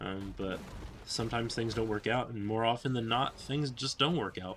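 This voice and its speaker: In a bright, sharp tone, a man speaks at a moderate pace and medium pitch. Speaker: gaming youtuber. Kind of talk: casual vlog monologue over gameplay. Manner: halting, stuttering.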